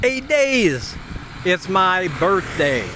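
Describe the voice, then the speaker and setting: A high-pitched man at a very slow pace, with noticeable background noise. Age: 50s. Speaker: expat vlogger. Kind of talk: casual vlog talk.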